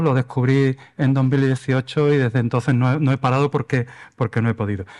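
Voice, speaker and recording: In an Andalusian accent, a man speaks at medium pitch with monotone, flat intonation over a quiet background. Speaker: environmental lawyer. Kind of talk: lecture. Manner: hesitant, with fillers.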